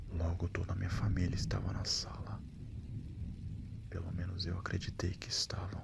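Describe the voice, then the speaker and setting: This man's voice is very deep and low. He speaks at a moderate pace against noticeable background noise. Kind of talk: horror story narration. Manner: soft-spoken.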